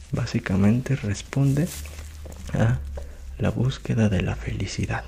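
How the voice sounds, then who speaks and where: Soft-spoken and very slow, a man talks in a fairly low pitch with very wide pitch swings over noticeable background noise. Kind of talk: ASMR short story reading with commentary.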